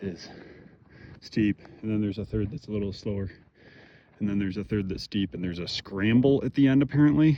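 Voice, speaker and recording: At a fairly quick pace, a man with an American accent talks in a fairly low pitch, his tone dark and mellow and his pitch variation ordinary. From Michigan, US. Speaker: vlogger. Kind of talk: casual vlog narration while hiking. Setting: outdoors on a mountain hike. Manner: casual.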